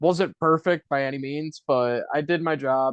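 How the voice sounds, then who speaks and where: Fairly even in intonation, a man speaks at a moderate pace with a Buffalo accent. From US, Buffalo, New York. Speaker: podcast co-host and stage actor. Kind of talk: casual chat.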